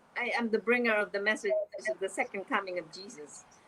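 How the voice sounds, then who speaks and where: A woman's pitch rises and falls in a lively way, with clear noise in the background. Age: 70s. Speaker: author and spiritual speaker. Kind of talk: interview. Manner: halting, with frequent repetitions.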